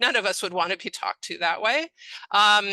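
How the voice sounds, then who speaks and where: The recording is dry and close with no echo, against a quiet background. A woman speaks at a medium pitch in a bright, sharp tone. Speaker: speech-language pathologist. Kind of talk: webinar lecture. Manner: expressive intonation.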